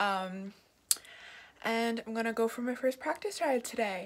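Fairly even intonation from a woman speaker. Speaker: horse rider vlogger. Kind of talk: casual vlog chat. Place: home room. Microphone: phone near.

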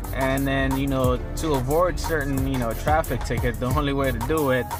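At a moderate pace, a man speaks over clear music in the background, with a dry sound and no echo. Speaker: car audio installer demonstrating. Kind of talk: tutorial. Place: car. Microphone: phone near.

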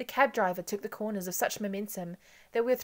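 Unembellished reading aloud

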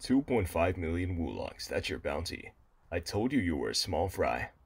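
Using a put-on character voice, a man speaks very deep and low at a moderate pace on a very clean recording with a silent background. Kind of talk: voice reel dubbing over clips. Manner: taunting.

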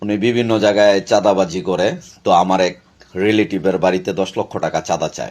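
This man talks in a monotone with flat intonation, his pitch fairly low. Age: 40s. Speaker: local party activist. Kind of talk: video statement.

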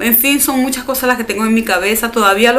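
A woman speaks with a fairly high pitch. Faint music plays in the background. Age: 30s. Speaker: beauty YouTuber. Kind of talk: casual vlog talk to camera. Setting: at home. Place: home room. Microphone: phone near.

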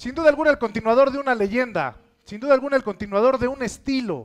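Speaking very fast with a Mexican accent, a man uses an extremely high pitch and big swings in loudness. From Mexico. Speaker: reality show host / presenter. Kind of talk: wrestling-event presenter, hyped emcee announcing. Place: studio.

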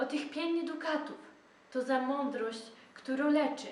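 Against noticeable background noise, a high-pitched woman with a Dobrzyń accent speaks at a very slow pace. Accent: Dobrzyń regional dialect. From Dobrzyń Land, Poland. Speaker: storyteller. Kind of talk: folk legend told in dialect.

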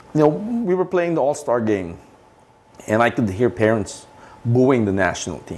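A man talks at a moderate pace with very wide pitch swings and long, frequent pauses. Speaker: football coach and business executive; football coach. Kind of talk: interview. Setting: studio. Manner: halting. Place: studio. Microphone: lapel.

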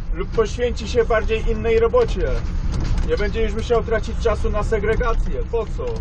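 The voice moves at a moderate pace with a dry sound and no echo, though noticeable background noise comes through. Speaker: machine operator vlogger. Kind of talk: casual vlog chat. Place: farm machine. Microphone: camera far.

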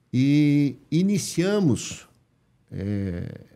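A dark, mellow tone at a very slow pace over a quiet background. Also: man. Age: 70s. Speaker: company founder; podcast guest. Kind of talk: interview. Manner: halting. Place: studio. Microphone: studio mic.

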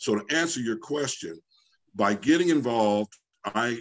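A man talks at a moderate pace with lively intonation. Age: 60s. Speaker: business federation institute president; guest. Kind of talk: online panel discussion. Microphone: video call.

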